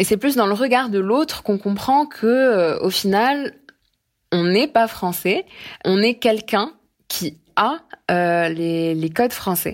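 Very slow and broken by long, frequent pauses, a woman's medium-pitched voice carries lively intonation. The recording is very clean, with a silent background. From Morocco (Casablanca). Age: 20s. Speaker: financial analyst. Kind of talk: interview. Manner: hesitant, many fillers and repetitions.

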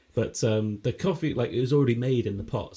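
A man's somewhat breathy voice has a dark, mellow tone and ordinary pitch variation. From Humberside, northeast England. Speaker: podcast co-host. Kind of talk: casual comedy chat.

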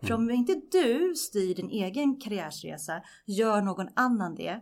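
This woman's voice sits at a fairly high pitch. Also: very clean recording, silent background. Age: 40s. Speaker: media executive. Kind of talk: podcast interview.

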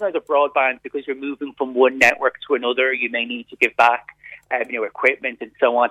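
A man with an Irish accent talks at a very fast pace. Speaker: consumer pricing spokesperson. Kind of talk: radio interview.

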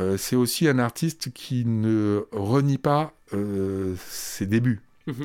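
A man at a very slow pace, on a very clean recording with a silent background. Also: medium pitch for a man, ordinary pitch variation. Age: 60s. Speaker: comics festival director and essayist. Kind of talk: interview. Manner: halting.

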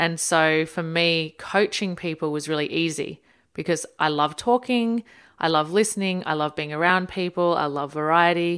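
On a very clean recording with a silent background, a woman with a fairly low pitch speaks with ordinary pitch variation. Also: moderate pace. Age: 30s. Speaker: empowerment coach. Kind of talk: casual chat.

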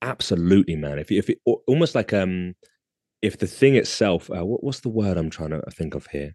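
Moderate in pace, a man speaks with a very deep, low pitch. His intonation is lively, and the background is quiet. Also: dry, close sound with no echo. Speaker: artist. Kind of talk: casual chat. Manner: confident, articulate.

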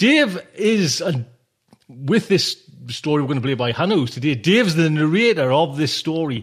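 Speaking in a Geordie accent, a man has a fairly high pitch. His pace is moderate and his intonation lively. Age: 40s. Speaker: podcast host. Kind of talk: casual monologue. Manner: rambling, animated.

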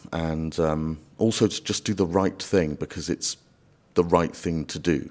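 This man's voice is very deep and low. He keeps a moderate pace with ordinary pitch variation. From Wales. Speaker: immigration barrister. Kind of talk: interview.

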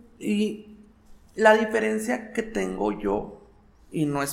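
A man's fairly high voice with audible room echo. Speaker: drag performer / impersonator. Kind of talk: casual interview. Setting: recorded indoors, unusual location.

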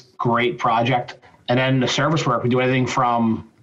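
Over noticeable background noise, a man of medium pitch speaks at a moderate pace. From Philadelphia, US. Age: 40s. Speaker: glazier and business owner. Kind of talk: interview. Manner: casual.

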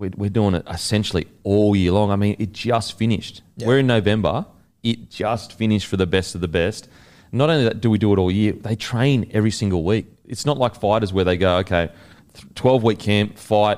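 A man speaks at a fairly quick pace in an Australian accent, his pitch fairly low. The recording is very clean, with a silent background. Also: ordinary pitch variation. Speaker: podcast interviewer, former athlete. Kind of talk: casual interview chat.

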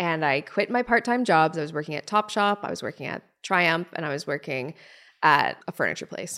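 Her voice is bright and sharp, fairly low for a woman, with lively intonation. She speaks at a fairly quick pace on a very clean recording with a silent background. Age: 30s. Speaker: beauty blogger and brand founder. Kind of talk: casual interview chat.

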